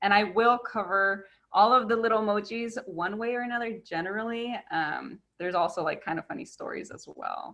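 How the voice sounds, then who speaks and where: A woman speaks in an ordinary speaking voice at a fairly high pitch. Her pace is fairly quick, with ordinary pitch variation. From US, Mexican-American family. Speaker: park educator. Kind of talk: online presentation. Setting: video call.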